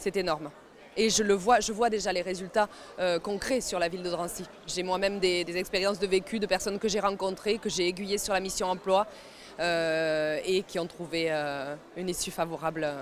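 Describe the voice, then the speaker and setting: A woman with a Paris suburban accent talks at a moderate pace, her medium-pitched voice keeping a fairly even intonation. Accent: Paris suburban (93). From France, Seine-Saint-Denis (Paris suburbs). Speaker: mayor. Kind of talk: interview. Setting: job fair at a stadium. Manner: hesitant, many fillers.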